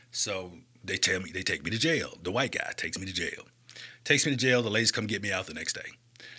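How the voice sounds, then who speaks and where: Speaking at a very fast pace with an Alabama accent, a man is heard in a very clean recording with a silent background. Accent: Southern US, Alabama. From US South, Birmingham, Alabama. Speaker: community nonprofit leader and speaker. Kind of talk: casual interview.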